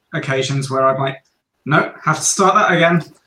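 With an Australian accent, a man speaks at a fairly high pitch. His tone is bright and sharp, and his intonation fairly even. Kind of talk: casual chat.

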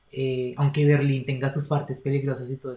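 A man speaks at a very fast pace. His intonation is monotone and flat, at a medium pitch. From Colombia, Bogotá. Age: 20s. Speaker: university student. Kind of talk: casual interview.

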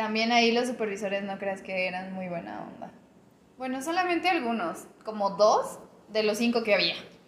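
Amid noticeable background noise and audible room echo, a woman talks at a moderate pace in a fairly high pitch, with lively intonation and big swings in loudness. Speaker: podcast co-host. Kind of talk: casual chat.

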